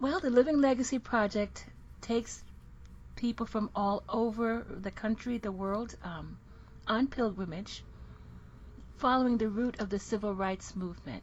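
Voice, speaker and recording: A woman speaks at a fairly high pitch with ordinary pitch variation. Her voice is somewhat breathy, broken by long, frequent pauses. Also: moderate pace. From Jamaica. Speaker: minister. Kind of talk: casual interview chat.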